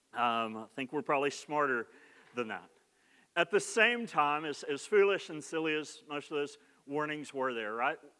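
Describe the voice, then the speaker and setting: Fairly high-pitched male voice with lively intonation at a moderate pace, on a very clean recording with a silent background. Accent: Oklahoma. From Oklahoma. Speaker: pastor. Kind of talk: sermon. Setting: church. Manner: conversational, humorous.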